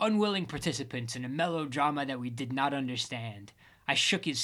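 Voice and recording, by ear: A passage gets read aloud in a natural voice.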